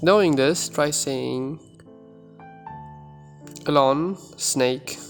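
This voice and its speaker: A man's fairly high voice, with ordinary pitch variation, comes through over music in the background. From Uzbekistan. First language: Uzbek. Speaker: language tutor. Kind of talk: language tutorial talk to camera.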